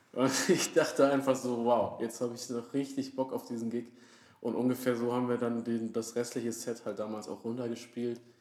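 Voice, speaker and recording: A medium-pitched man at a moderate pace, monotone and flat in intonation, with noticeable background noise. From Franconia, Germany (Würzburg area). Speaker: band musician, podcast co-host. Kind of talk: casual chat. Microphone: quieter, sits farther from the mic.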